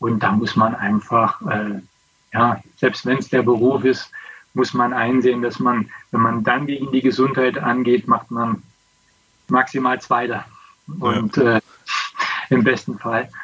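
A man speaks at a medium pitch and a fairly slow pace, his intonation fairly even, with long pauses coming often. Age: 50s. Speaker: former pro cyclist. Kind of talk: casual interview. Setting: video call.

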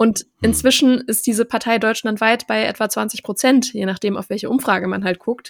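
In a dry, close sound with no echo on a very clean recording with a silent background, a woman with vocal fry and a fairly high pitch speaks at a moderate pace, her intonation fairly even and with hardly any pauses. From Germany, small town. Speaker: journalist and content creator. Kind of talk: interview.

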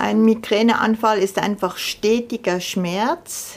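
The woman speaks at a very slow pace. Her pitch is medium and her intonation fairly even. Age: 60s. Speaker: chronic pain patient, artist. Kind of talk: interview testimony.

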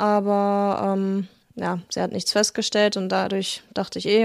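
Her intonation is monotone and flat. This woman's recording is very clean, with a silent background. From Germany, Lügde (Lippe region). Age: 20s. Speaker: husky owner, retail worker. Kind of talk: interview. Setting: at her home.

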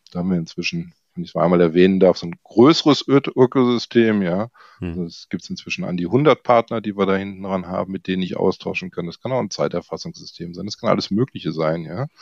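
A man with a fairly low pitch talks at a very fast pace with ordinary pitch variation. The background is quiet. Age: 60s. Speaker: software product manager. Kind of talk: interview.

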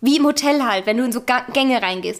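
The speaker is a woman with a high pitch. She comes across loud. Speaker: podcast co-host. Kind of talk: casual chat.

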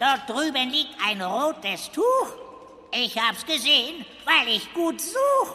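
In a put-on character voice, someone speaks high and fairly slowly, with long, frequent pauses and clear background noise. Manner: silly, speaks in rhymes.

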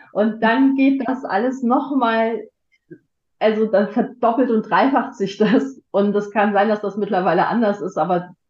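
A woman's fairly high voice shows ordinary pitch variation as she talks at a fairly slow pace. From Germany, Frankfurt. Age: 50s. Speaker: podcast guest. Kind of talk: casual chat. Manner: halting.

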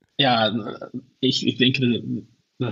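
A man talks with a Dutch accent. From Netherlands, Venlo. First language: Dutch (speaking German). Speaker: football scout and analyst. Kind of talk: casual chat. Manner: halting.

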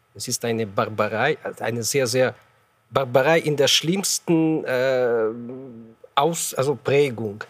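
Long, frequent pauses in a man's very slow speech, medium in pitch and with ordinary pitch variation. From Ukraine. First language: Ukrainian or Russian (speaking German). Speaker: ambassador. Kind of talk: panel debate. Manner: halting.

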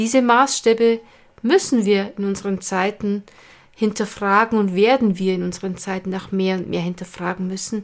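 The delivery keeps a moderate pace and fairly even intonation. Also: woman, medium pitch for a woman. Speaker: podcast host and stress management coach. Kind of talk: monologue. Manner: casual, unscripted.

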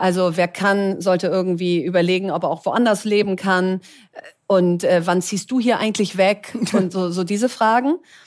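An ordinary speaking voice from a woman, medium in pitch, fairly even in intonation, at a moderate pace. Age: 40s. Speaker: entrepreneur and investor. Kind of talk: live talk interview. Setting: live event with audience.

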